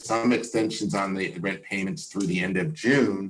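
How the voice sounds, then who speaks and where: A man speaks with lively intonation. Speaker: community organizer. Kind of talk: panel talk. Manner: fast.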